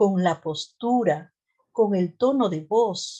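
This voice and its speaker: A woman speaks with a Peruvian Central Highlands accent at a medium pitch. Her intonation is lively, and the background is quiet. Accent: Peruvian Central Highlands tone. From Peru, Central Highlands. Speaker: nurse and mental health lecturer. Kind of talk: lecture.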